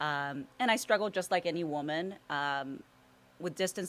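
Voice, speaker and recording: Recorded very cleanly against a silent background, a woman speaks with ordinary pitch variation. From Los Angeles (Compton), US; born in Mexico. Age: 40s. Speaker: golf instructor and social media personality. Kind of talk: interview. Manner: halting, many fillers.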